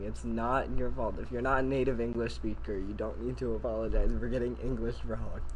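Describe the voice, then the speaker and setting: Audible room echo follows a man as he talks. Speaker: gaming streamer. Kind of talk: live gaming stream chat. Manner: fast; loud.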